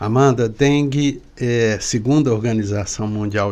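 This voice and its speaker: A man's medium-pitched voice moves very slowly, its pitch varying in an ordinary way. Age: 60s. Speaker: pediatrician and epidemiologist. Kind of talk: expert interview.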